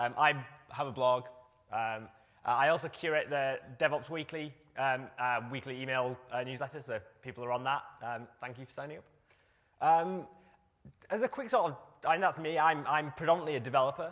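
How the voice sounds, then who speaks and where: A man with a British accent, fairly high in pitch with ordinary pitch variation, a fairly quick pace, big swings in loudness, and long, frequent pauses. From UK. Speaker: software developer, conference speaker. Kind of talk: conference talk. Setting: stage with audience. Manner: halting, many fillers.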